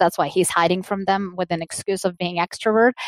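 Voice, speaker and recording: A woman talks in a Russian accent at a medium pitch. The sound is dry and close with no echo, on a very clean recording with a silent background. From Soviet Union. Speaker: business executive. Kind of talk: interview.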